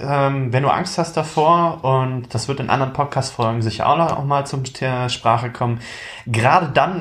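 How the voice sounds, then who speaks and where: In a plain, everyday voice, a man talks at a moderate pace with lively intonation and a fairly high pitch. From eastern Germany (Magdeburg). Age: 20s. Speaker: aspiring young entrepreneur and student. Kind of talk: casual chat.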